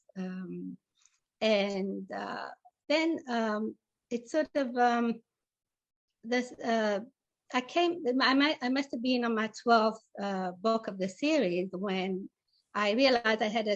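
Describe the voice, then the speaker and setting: With an Italian accent, a woman speaks at a fairly high pitch with lively intonation. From Italy, with childhood in South Africa. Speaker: novelist. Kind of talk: interview. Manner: halting, many fillers.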